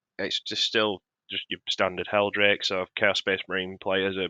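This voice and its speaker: This man's voice sits fairly low, with a bright, sharp tone and monotone, flat intonation. The sound is dry and close, with no echo. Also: quiet background. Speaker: tabletop wargaming content creator. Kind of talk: tier list commentary. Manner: lower, restrained cadence.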